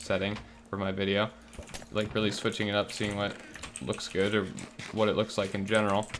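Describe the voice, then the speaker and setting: Quiet and at a very fast pace, a man talks at a fairly low pitch with fairly even intonation over noticeable background noise. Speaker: gaming YouTuber. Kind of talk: gameplay commentary. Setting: home recording, roommates asleep. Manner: quiet, keeping voice low; relaxed, chill.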